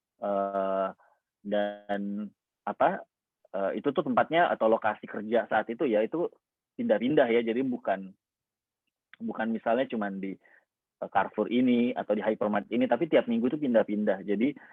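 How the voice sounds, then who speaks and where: Long, frequent pauses break up speech that carries ordinary pitch variation. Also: man, medium pitch for a man, moderate pace. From Indonesia, Makassar (South Sulawesi). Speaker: motivational speaker, scholarship awardee. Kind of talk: inspirational talk sharing personal story. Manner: casual, many fillers.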